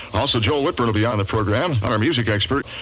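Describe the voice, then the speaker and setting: A man talks at a very fast pace with ordinary pitch variation while noticeable background noise runs underneath. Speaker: radio DJ. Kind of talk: morning radio show. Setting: radio broadcast, 1972 aircheck.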